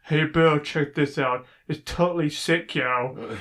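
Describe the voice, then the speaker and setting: Using a put-on character voice, a man talks at a fairly slow pace in a fairly high pitch. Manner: flat, lifeless, no enthusiasm.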